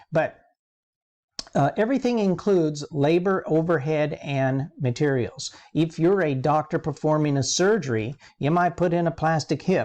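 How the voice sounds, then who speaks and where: A plain, everyday voice: a man at a fairly high pitch, moderate pace, ordinary pitch variation and very even loudness, in a quiet background. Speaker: accounting professor. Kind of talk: lecture.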